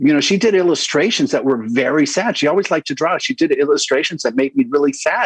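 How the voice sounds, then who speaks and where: A man with a Spanish accent, fairly quick pace and lively intonation, in a dry, close sound with no echo. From Southern California, Los Angeles suburbs. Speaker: children's book author and activist. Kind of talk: interview. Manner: halting, many false starts.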